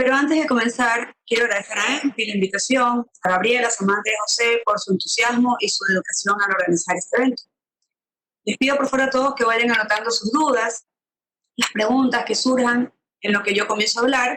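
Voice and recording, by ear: A woman at a fairly quick pace, her tone bright and sharp. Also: fairly high pitch for a woman, ordinary pitch variation.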